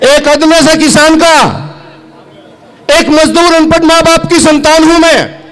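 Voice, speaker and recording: An extremely high-pitched man speaks at very even loudness, with long, frequent pauses. Audible room echo and noticeable background noise fill the recording. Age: 60s. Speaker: farmer leader / politician. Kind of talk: political rally speech. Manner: animated.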